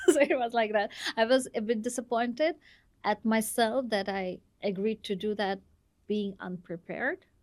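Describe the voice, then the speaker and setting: On a very clean recording with a silent background, a woman with a fairly high pitch talks at a moderate pace with ordinary pitch variation. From Russia, Moscow. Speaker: dancer and entrepreneur. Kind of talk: podcast interview.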